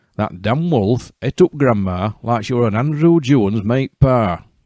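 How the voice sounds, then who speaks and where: Against a quiet background, a man with a Yorkshire accent speaks with lively intonation. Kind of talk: fairy tale storytelling. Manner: humorous, folksy.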